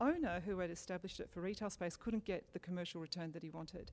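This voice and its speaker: The voice moves at a fairly quick pace with an Australian accent. Its tone is dark and mellow. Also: woman. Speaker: local council arts program manager. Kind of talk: panel presentation. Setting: public forum with audience. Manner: fast.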